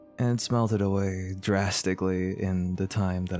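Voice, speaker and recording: A man with a fairly low pitch at a fairly slow pace, music in the background. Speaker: online content creator. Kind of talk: casual talk to camera. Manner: rambling, casual.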